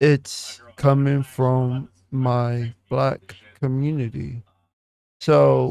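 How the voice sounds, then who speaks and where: Speaking at a very slow pace, a man uses a medium pitch and a dark, mellow tone, his intonation monotone and flat. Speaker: YouTube reaction commentator. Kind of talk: reaction video monologue. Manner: deliberate, thinks before speaking.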